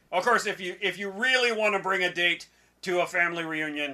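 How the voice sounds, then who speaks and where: A cartoonish character voice at a middle pitch and a fairly quick pace. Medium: puppet show. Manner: hesitant, stammering.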